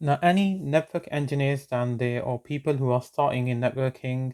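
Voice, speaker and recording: A man speaks with a non-native accent at a medium pitch. The sound is dry and close with no echo. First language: not English. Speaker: networking tutor, channel owner. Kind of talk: tutorial. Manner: hesitant, many fillers.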